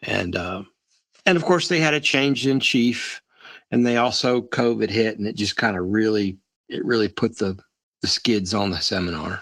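A man's plain, everyday voice with a medium pitch and lively intonation. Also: moderate pace. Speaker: podcast co-host. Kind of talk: casual interview conversation.

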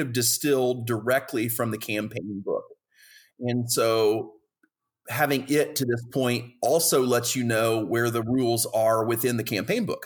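A man speaks at a medium pitch and a moderate pace. His intonation is fairly even, on a very clean recording with a silent background. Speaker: game creator and podcast host. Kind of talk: casual interview-style chat about a game. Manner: informal, hesitant with filler words.

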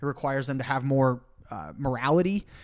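Fairly quick speech with ordinary pitch variation, a plain, everyday voice, and a very clean recording against a silent background. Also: man. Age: 20s. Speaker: financial advisor and podcast host. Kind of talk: casual chat.

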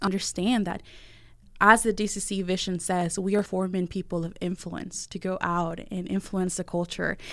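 With a Spanish accent, a woman of medium pitch speaks in a monotone, flat way at a moderate pace, captured in a very clean recording with a silent background. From Venezuela (Valencia). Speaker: college student life director. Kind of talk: interview conversation.

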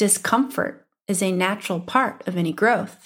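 Speaking at a very slow pace in an Upper Midwestern US accent, a woman with medium pitch and lively intonation is heard on a very clean recording with a silent background. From US Midwest. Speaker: business coach and podcast host. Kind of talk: solo podcast monologue.

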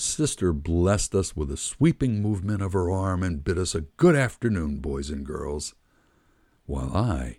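A man's very deep, low voice with a dark, mellow tone and lively intonation at a moderate pace, on a very clean recording with a silent background. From Philadelphia. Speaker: podcast host and memoirist. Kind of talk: memoir reading, nostalgic storytelling, read aloud from a written text. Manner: wry and nostalgic, with comic timing and punchy asides.

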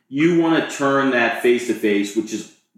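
A moderate-paced voice with an American accent, carrying audible room echo. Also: man. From Maryland, US (Montgomery County). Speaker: real estate agent. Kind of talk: interview.

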